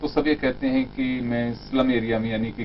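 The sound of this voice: A man with a fairly low-pitched voice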